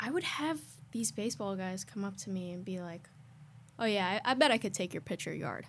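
At a fairly quick pace, a woman speaks in a somewhat breathy voice with lively intonation. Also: medium pitch for a woman. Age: 20s. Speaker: podcast co-host. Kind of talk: casual chat.

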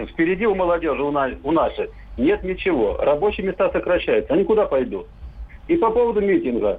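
This is a man talking. His pace is fairly quick. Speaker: magazine editor. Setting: phone call.

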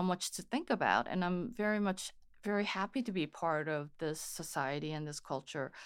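A woman with a Korean accent and a fairly low pitch speaks in a very clean recording with a silent background. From Korea (Seoul), then California from age 13. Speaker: photographer and photography teacher. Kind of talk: interview.

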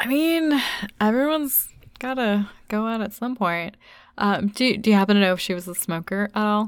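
Talking at a fairly quick pace with lively intonation, a woman comes through on a very clean recording with a silent background. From United States. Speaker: podcast co-host. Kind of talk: casual chat.

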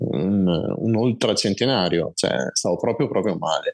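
This man has a normal speaking voice with a fairly low pitch. His pitch variation is ordinary, and the sound is dry and close with no echo. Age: 40s. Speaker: person with multiple sclerosis, long-distance walker. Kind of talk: interview testimony.

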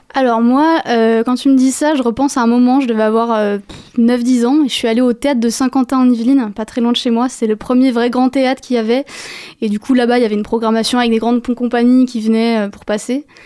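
The woman's voice is high. She talks fairly quickly in a monotone, flat delivery. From Paris. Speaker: dance student. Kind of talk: radio interview.

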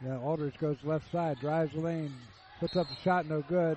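Over noticeable background noise, a man talks with a fairly high pitch. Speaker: radio play-by-play announcer. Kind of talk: live radio sports commentary. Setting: courtside broadcast at gym. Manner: upbeat, energetic.

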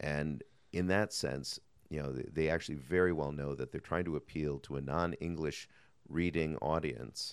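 A man with an American accent and a very deep, low pitch, vocal fry, fairly even intonation and a moderate pace. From United States. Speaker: lawyer. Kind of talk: interview. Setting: conference venue.

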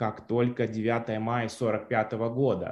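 This man talks at a medium pitch. His voice sits in the middle range for a male speaker. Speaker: cultural studies professor. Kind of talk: analytical interview commentary.

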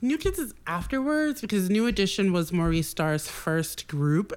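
A woman with an American accent talks at a moderate pace in a medium pitch. She has an ordinary speaking voice. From Boston, Massachusetts. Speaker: stylist. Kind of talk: casual chat.

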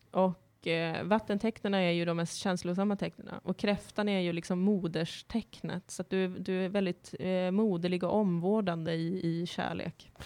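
With hardly any pauses, a woman talks at a moderate pace in a medium pitch. Her tone is dark and mellow, and her intonation is monotone and flat. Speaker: radio host. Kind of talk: casual chat. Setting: radio studio. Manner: giggly.

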